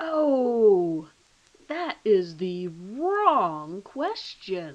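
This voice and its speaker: A put-on, female-sounding character voice at a medium pitch for a woman, with very wide pitch swings. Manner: mock-cheerful.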